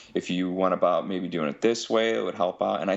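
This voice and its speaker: The speaker is a man. He talks in a Midwestern American accent. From Ohio. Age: 30s. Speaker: pipe maker. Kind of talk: casual interview. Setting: phone call.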